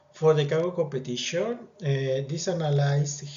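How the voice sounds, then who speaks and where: Man at a moderate pace with ordinary pitch variation, in audible room echo. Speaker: student presenting a project. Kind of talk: project presentation. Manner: halting, with fillers.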